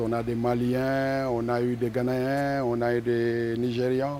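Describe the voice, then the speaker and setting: A very slow, monotone, flat-intoned man's voice at a medium pitch, with audible room echo. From Senegal, Ziguinchor. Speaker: musician. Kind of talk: interview.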